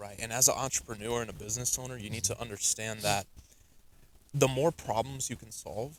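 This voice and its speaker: Loudness swings widely as a man at a medium pitch talks at a fairly quick pace with fairly even intonation. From US Northeast, New Jersey. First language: Russian. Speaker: entrepreneur, sales. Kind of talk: podcast interview.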